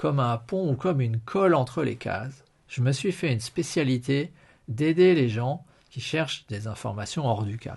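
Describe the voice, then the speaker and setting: Against a quiet background, a man speaks in a somewhat breathy voice at a medium pitch. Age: 50s. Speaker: podcast host and financial/health coach. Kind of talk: live-stream monologue. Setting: live video stream.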